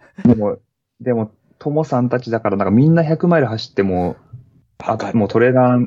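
Using a plain, everyday voice, a man speaks at a fairly quick pace and medium pitch with lively intonation. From Niigata, Japan. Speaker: school teacher and trail runner. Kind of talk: casual interview.

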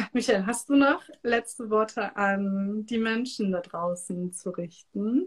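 This woman talks at a very slow pace with hardly any pauses, her fairly high voice somewhat breathy. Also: ordinary pitch variation. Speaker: podcast host and energy work coach. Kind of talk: casual live-stream interview. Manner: animated.

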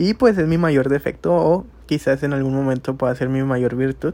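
A dark, mellow voice at a moderate pace with ordinary pitch variation. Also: man. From Monterrey, Nuevo León, Mexico. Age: 20s. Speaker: amateur podcaster. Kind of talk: casual monologue.

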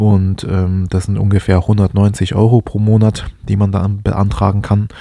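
Recorded very cleanly against a silent background, a man speaks in a monotone, flat intonation at a fairly low pitch with a dark, mellow tone. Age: 20s. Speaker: finance podcaster. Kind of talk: solo podcast monologue. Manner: hesitant, many filler sounds.

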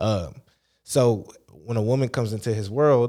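A man talks in a plain, everyday voice, keeping a medium pitch, a moderate pace and ordinary pitch variation. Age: 30s. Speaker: podcast host. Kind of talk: casual chat. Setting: studio.

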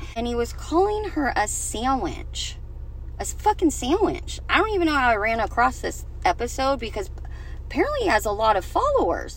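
Noticeable background noise is present. The speech keeps a moderate pace. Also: woman. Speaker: podcast host and anti-bullying advocate. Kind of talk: angry rant. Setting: solo podcast recording. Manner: indignant, sarcastic and scornful.

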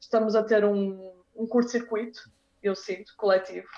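This woman has a normal speaking voice, pitched in the medium range. She keeps a moderate pace with fairly even intonation. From northern Portugal (Porto, Braga). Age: 30s. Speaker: dancer and dance teacher. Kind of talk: casual interview chat.

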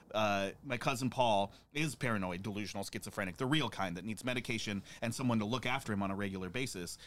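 This man talks very quickly. Behind him the background is silent, and the recording is very clean. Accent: American. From Montana. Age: 30s. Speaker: podcast host, bar owner. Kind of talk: casual chat. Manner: animated.

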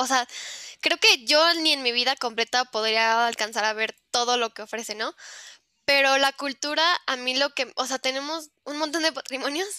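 In a very clean recording with a silent background, a woman speaks at a moderate pace with a high pitch and a bright, sharp tone. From Mexico. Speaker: university student. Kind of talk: casual interview.

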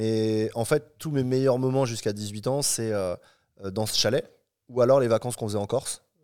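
A man speaks at a moderate pace with a medium pitch. His tone is dark and mellow, and his intonation fairly even. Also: very clean recording, silent background. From Paris region, France. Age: 30s. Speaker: entrepreneur and traveler. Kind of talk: casual interview. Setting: home cinema room.

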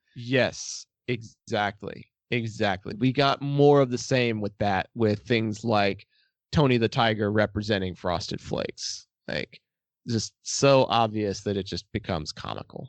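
In an American accent, a man talks at a fairly slow pace with medium pitch, ordinary pitch variation and a plain, everyday voice. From Texas. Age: 20s. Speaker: podcaster. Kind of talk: casual chat.

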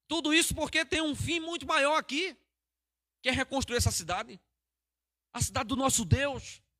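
A man's extremely high, raised and projected voice, bright and sharp in tone, with lively intonation, a moderate pace, long and frequent pauses, and a dry, close sound with no echo. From Pernambuco, Brazil. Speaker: pastor. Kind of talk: sermon. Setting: church livestream.

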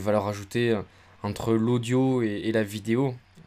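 A man's normal speaking voice at medium pitch, with fairly even intonation. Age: 20s. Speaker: photographer and video content creator. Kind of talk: casual interview chat.

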